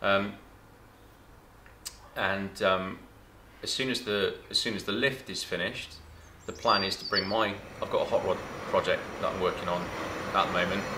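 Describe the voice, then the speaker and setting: A man at a moderate pace with long, frequent pauses, over noticeable background noise. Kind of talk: casual vlog chat. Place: workshop.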